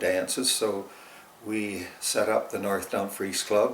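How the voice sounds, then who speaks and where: The speaker has a Canadian accent, with audible room echo and noticeable background noise. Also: man. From Ontario, Canada (Waterloo County farm). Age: 80s+. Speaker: retired farmer, alumnus of a rural youth club. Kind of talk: oral history interview. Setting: interview near Ripley.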